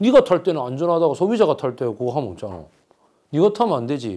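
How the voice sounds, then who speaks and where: In an animated tone with vocal fry, a man talks at a fairly quick pace with very wide pitch swings on a very clean recording with a silent background. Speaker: history lecturer. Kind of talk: lecture. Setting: lecture room with audience. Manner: loud.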